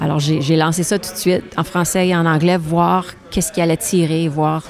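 A woman with a fairly low pitch talks at a fairly quick pace in a monotone, flat intonation. Noticeable background noise sits behind her voice. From Saskatchewan, western Canada (Franco-Saskatchewanian). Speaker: singer-songwriter. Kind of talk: interview. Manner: halting, with many repetitions.

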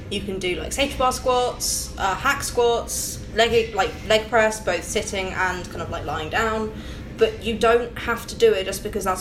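Audible room echo and noticeable background noise around a woman speaking fairly slowly. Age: young. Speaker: competitive strength athlete. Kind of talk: casual chat.

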